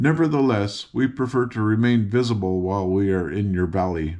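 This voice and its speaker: Over a quiet background, a man does a put-on character voice, fairly low in pitch and at a fairly quick pace. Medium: read story.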